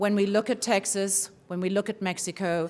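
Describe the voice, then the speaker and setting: Speaking in a southern African accent, a woman talks at a medium pitch. The recording is very clean, with a silent background. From southern Africa (Zimbabwe, Swaziland). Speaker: forum organizer introducing a speaker. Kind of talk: welcome speech.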